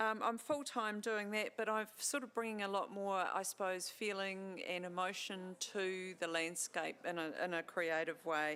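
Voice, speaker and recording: This woman has a New Zealand accent, a medium pitch, and a bright, sharp tone with ordinary pitch variation. She talks at a fairly slow pace with hardly any pauses. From New Zealand, Central Otago. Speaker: landscape photographer and awards judge. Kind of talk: self-introduction.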